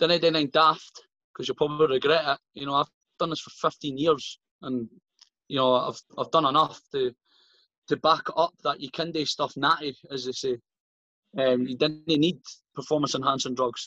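With a Scottish accent, a man speaks at a fairly high pitch in a bright, sharp tone, his intonation fairly even and his long, frequent pauses caught in a dry, close sound with no echo. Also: moderate pace. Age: 30s. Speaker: strength athlete and coach. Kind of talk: casual chat.

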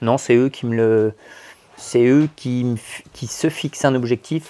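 A man speaks at a very slow pace with a medium pitch. His tone is dark and mellow, and his intonation fairly even. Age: 40s. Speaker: sports coach. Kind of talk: interview. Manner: halting.

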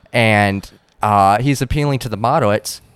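A man speaks at a moderate pace with a Southern US accent and ordinary pitch variation. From South Carolina. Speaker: podcast co-host, fill-in guest. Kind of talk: casual chat.

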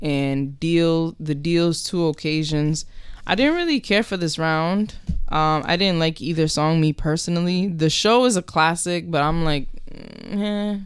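A woman's fairly low voice at a fairly slow pace, with very even loudness and ordinary pitch variation. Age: 20s. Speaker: podcast co-host. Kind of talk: casual chat.

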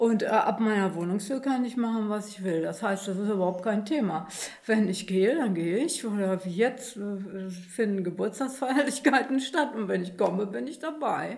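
Fairly high-pitched woman's voice with lively intonation at a moderate pace, audible room echo around it. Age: 60s. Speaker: volunteer at a senior centre. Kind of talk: casual panel chat.

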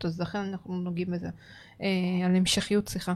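A woman's voice comes through on a very clean recording, the background silent. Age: 30s. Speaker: podcast co-host. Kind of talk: casual chat. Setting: studio.

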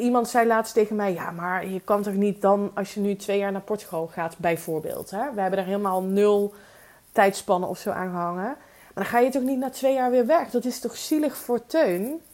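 Delivered at a moderate pace, an unremarkable speaking voice shows ordinary pitch variation. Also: woman, medium pitch for a woman. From Netherlands, Limburg (Weert). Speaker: podcast host, business coach. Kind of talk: solo podcast monologue.

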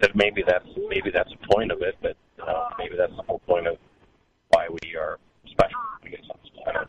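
A man leaves long, frequent pauses while speaking at a moderate pace. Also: big swings in loudness. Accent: American. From US Southwest. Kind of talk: call-in conversation. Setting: phone call. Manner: halting.

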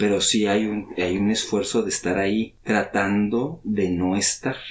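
A man speaks at a very slow pace. His pitch is fairly low. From Mexico City. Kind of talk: casual chat over drinks.

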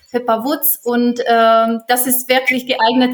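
Speaking at a fairly slow pace, a woman with a Czech accent uses a fairly high pitch. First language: Czech (speaking German). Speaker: German teacher. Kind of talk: interview. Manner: halting.

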